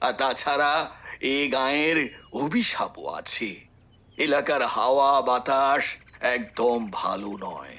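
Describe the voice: A raspy, put-on character voice carries the whole clip. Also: man.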